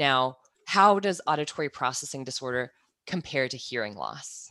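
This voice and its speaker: In a very clean recording with a silent background, a woman talks with lively intonation and a bright, sharp tone. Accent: American. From US Midwest, Kansas. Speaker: audiologist. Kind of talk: casual interview chat.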